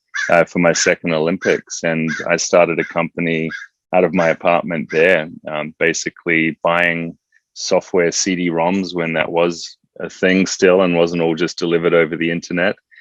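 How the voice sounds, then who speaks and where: A man with an Australian accent speaks at a moderate pace in a very deep, low pitch. His intonation is monotone and flat, and the sound is dry and close with no echo. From Australia, Adelaide. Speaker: entrepreneur, former Olympic athlete. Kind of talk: interview.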